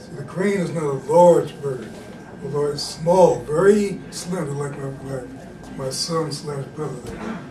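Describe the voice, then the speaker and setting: Fairly slow, fairly high-pitched male speech with ordinary pitch variation, amid audible room echo and noticeable background noise. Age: 70s. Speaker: martial arts and meditation teacher. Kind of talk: demonstration lesson. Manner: halting, repetitive.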